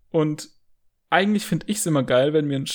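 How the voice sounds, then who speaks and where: Ordinary pitch variation in the fairly high voice of a man. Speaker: video game podcaster and writer. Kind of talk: casual chat.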